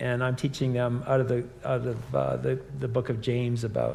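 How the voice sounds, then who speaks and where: The pace is moderate. There is audible room echo. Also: man. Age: 60s. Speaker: campus minister and teacher. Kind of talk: live conversation. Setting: live event with in-person and online audience.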